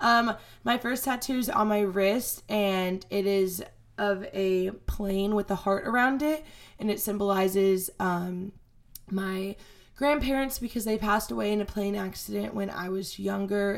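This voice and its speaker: Using a normal speaking voice at a medium pitch, a woman talks at a fairly slow pace with ordinary pitch variation. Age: 20s. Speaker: podcast host. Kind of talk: casual solo chat. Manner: casual, filler-heavy.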